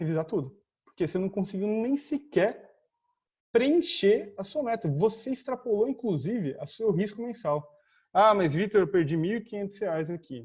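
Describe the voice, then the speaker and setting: A man talks in a high voice with lively intonation. The background is quiet. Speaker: trading instructor. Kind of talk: tutorial. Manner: fast; casual.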